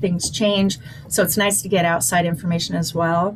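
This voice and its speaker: Talking at a fairly quick pace, a woman is heard over noticeable background noise. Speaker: credit management presenter. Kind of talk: webinar Q&A discussion. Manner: fast.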